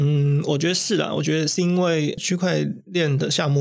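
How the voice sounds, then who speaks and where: At a moderate pace, a man talks in an unremarkable speaking voice pitched fairly high. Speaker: influencer marketing manager. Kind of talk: interview.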